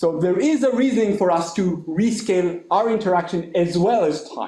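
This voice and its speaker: A loud, high-pitched male voice at a moderate pace, with ordinary pitch variation. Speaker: mathematician. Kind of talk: lecture. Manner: animated.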